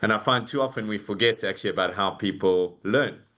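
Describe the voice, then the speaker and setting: A man with a South African accent and a fairly low pitch. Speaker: corporate talent and leadership executive. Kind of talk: webinar fireside chat. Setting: video call. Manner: hesitant, many fillers.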